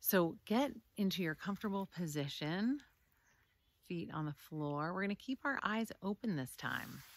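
A woman's voice sits at a medium pitch and moves through very wide pitch swings. Her tone is calm and soothing, and the sound is dry with no echo. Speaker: meditation teacher. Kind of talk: guided meditation, calm instructions. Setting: video recording outdoors. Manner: slow, soothing, gentle; calm and measured, with long pauses. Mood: calm, soothing. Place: forest. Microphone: phone near.

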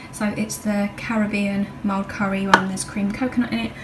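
Noticeable background noise lies beneath speech delivered at a moderate pace. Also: woman. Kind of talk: casual vlog chat. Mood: relaxed, chatty. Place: kitchen. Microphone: phone near.

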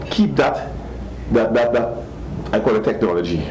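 There's a man talking here. Some light noise sits in the background. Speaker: fashion designer. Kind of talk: interview. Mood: concerned, earnest. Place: shop.

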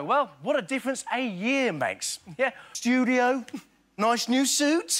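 Over a quiet background, a man with an extremely high pitch keeps a very even loudness, ordinary pitch variation and a fairly slow pace. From England. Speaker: impressionist. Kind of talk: stand-up comedy monologue on TV show. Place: stage. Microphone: lapel.

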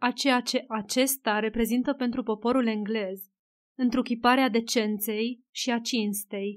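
A woman talks in a monotone, flat way at a high pitch and a fairly slow pace. The recording is very clean, with a silent background. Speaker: audiobook narrator. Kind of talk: scripted narration, literary audiobook reading. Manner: even, measured storyteller's pace, formal; shifts into dialogue voices for characters, gently expressive.

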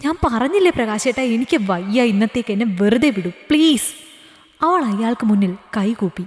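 With lively intonation, the voice is reading aloud in a natural voice.

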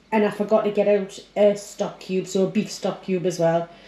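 Light background noise and audible room echo around a woman speaking. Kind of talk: casual cooking tutorial. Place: kitchen. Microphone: phone near.

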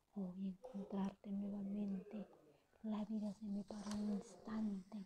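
A woman whispers. She speaks at a very slow pace. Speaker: poet. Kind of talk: ASMR poetry reading. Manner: whispered.

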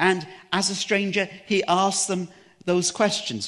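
The man speaks at a fairly slow pace. The background is quiet. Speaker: preacher. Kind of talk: sermon. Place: church. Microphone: headset.

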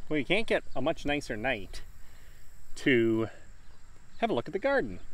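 The recording is dry and echo-free as a man talks at a moderate pace. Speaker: farmer vlogger. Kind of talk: casual vlog chat. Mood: relaxed, self-deprecating. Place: garden. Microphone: phone near.

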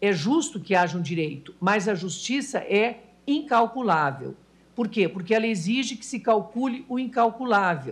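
A somewhat breathy woman, her pitch swinging very widely. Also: moderate pace. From Brazil. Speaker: judge. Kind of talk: formal speech. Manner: formal. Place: hall. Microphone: podium.

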